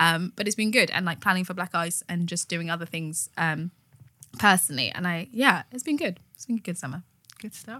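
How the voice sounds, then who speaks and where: The voice has a bright, sharp tone and moves at a fairly quick pace in a British accent. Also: woman, fairly low pitch for a woman. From Zambian heritage, raised in UK. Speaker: theatre professional. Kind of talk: casual chat.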